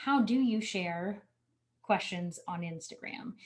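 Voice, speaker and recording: A woman's somewhat breathy voice moves fairly slowly, its pitch varying in an ordinary way. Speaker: marketing coach. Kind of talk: webinar Q&A.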